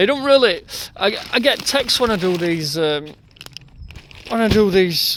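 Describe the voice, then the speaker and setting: Delivered at a fairly slow pace, the speech has lively intonation and long, frequent pauses. Noticeable background noise runs throughout. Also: man. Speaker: builder. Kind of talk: tutorial. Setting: outdoors. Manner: casual.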